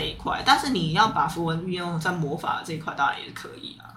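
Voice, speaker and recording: A woman is speaking. There is audible room echo. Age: 30s. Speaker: tarot reader and aromatherapist. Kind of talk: casual chat.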